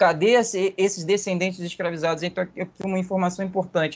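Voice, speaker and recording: This man has a high voice. He talks at a moderate pace. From Brazil, Volta Redonda (Rio de Janeiro state). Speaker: history researcher. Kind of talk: podcast interview.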